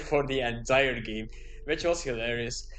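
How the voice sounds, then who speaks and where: With music playing in the background, a man with a Flemish accent talks with ordinary pitch variation. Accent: Belgian Dutch (Flemish) accent in English. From Belgium (Dutch-speaking). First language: Dutch. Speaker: YouTuber. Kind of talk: casual monologue.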